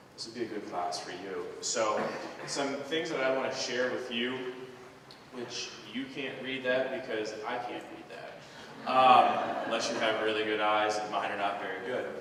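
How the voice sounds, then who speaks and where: A man talks with ordinary pitch variation, his voice carrying audible room echo amid noticeable background noise. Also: medium pitch for a man, moderate pace. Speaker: high school biology teacher. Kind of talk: school presentation to parents. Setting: school auditorium with audience. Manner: loud.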